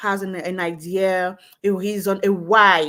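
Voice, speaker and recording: The speaker has a Cameroonian accent. The pace is fairly slow. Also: woman. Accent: Cameroonian francophone English. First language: French. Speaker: network marketing entrepreneur. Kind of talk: live stream interview.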